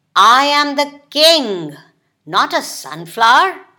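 A woman's growling put-on character voice, high in pitch and at a fairly slow pace. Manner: growling, haughty.

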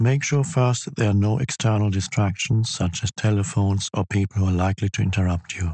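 With hardly any pauses, a man speaks in a normal speaking voice, fairly low in pitch and with ordinary pitch variation. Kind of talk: guided meditation: slow, calm, instructional, spoken as spiritual teaching. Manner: slow, calm, soothing, measured.

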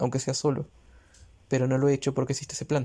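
A man's medium-pitched voice, dark and mellow in tone, with monotone, flat intonation. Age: 30s. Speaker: solo podcaster. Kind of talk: personal reflective monologue. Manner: halting, many filler sounds.

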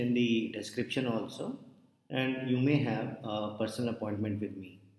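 Here a man speaks at a moderate pace, his medium pitch carried in fairly even intonation. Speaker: hypnotherapist guiding meditation. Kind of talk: hypnosis induction, guided meditation. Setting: online session shared screen, video call. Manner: instructional, formal, with some filler hesitations.

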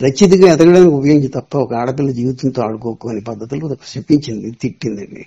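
A man's somewhat breathy voice with a dark, mellow tone, at a medium pitch with ordinary pitch variation and big swings in loudness, in a dry, close sound with no echo. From Andhra Pradesh, Visakhapatnam district. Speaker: novelist and film writer. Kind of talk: interview.

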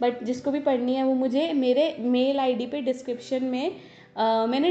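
A woman speaks with a high-pitched voice. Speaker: talk show host, voice-over artist and novelist. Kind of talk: casual interview chat. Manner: chatty, playful.

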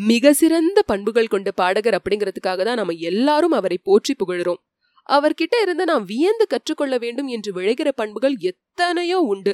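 A woman with a high pitch and very wide pitch swings. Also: dry, close sound with no echo. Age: 30s. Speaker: audiobook narrator. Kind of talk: tribute speech. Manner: formal.

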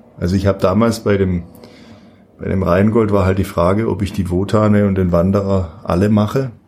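Against noticeable background noise, a man speaks fairly quickly in a fairly low pitch with monotone, flat intonation. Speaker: opera singer. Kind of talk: interview.

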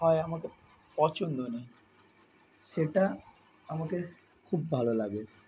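Lively intonation marks this man's fairly high pitch, delivered in a dark, mellow tone. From Kolkata, India (Salt Lake). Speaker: first-time podcaster. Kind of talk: personal storytelling monologue. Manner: halting, repetitive.

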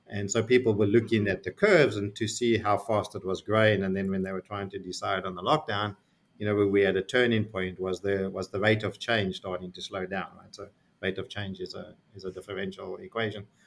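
With big swings in loudness, a man talks at a fairly quick pace in a fairly low voice with monotone, flat intonation. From South Africa. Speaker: technology executive. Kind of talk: interview.

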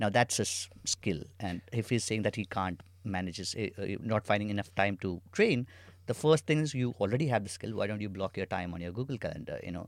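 A man's normal speaking voice at a fairly quick pace, on a very clean recording with a silent background. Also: fairly low pitch for a man, ordinary pitch variation. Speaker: co-founder and chief product officer. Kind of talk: casual conversational chat.

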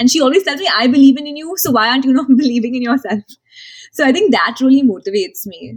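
A woman talks at a very fast pace in a high voice. Her intonation is lively. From India, Marwari family. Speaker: entrepreneur, founder of women's career platform. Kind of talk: interview.

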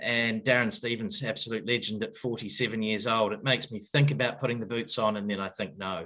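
A man with a New Zealand accent and a bright, sharp tone speaks at a moderate pace and medium pitch, with hardly any pauses. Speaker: cricket head coach. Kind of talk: interview. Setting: remote call. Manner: casual, hesitant fillers.

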